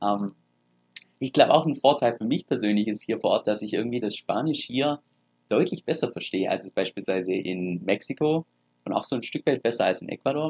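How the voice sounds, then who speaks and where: Recorded dry and close with no echo, a man with a plain, everyday voice speaks at a fairly quick pace, with a medium pitch and lively intonation. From Germany. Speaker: crypto YouTuber. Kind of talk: casual vlog talk.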